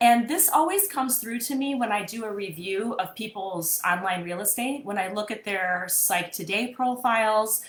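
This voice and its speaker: A woman with a Midwestern accent speaks at a moderate pace, her fairly high pitch showing ordinary variation. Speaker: therapist and coach. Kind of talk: live-streamed mini workshop. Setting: live video stream. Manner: casual, conversational with fillers.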